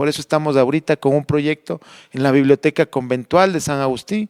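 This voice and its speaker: In a dry, close sound with no echo, a man with an ordinary speaking voice talks at a fairly high pitch with ordinary pitch variation. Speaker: heritage conservator. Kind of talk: radio interview. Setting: recorded in a convent library.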